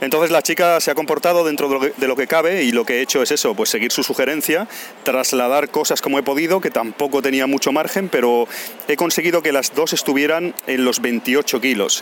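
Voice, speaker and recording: Over noticeable background noise, a man speaks at a fairly quick pace and fairly high pitch. His loudness stays very even. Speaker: travel podcaster. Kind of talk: casual monologue. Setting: airport.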